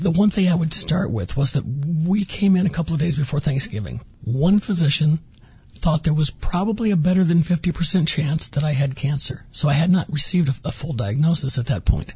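A normal speaking voice from a man, fairly high in pitch, with ordinary pitch variation and a fairly quick pace. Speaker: former cancer patient. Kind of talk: personal story interview.

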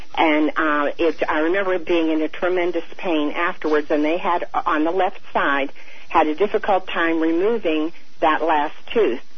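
With noticeable background noise behind her, a woman speaks at a moderate pace in a fairly low pitch, keeping fairly even intonation and very even loudness. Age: 70s. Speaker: radio caller. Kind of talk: call-in question. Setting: phone call.

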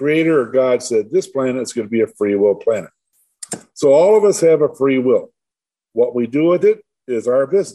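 In a Midwestern American accent, a man speaks at a moderate pace with lively intonation and a dark, mellow tone. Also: fairly high pitch for a man. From Michigan, Detroit suburbs. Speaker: tree grower and near-death experiencer. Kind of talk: interview.

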